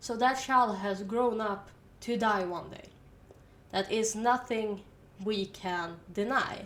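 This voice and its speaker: With a Swedish accent, a woman talks very slowly at a fairly high pitch and fairly even intonation, leaving long, frequent pauses while her loudness swings widely and the room echoes audibly. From Sweden. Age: 20s. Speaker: university student. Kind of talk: casual educational monologue.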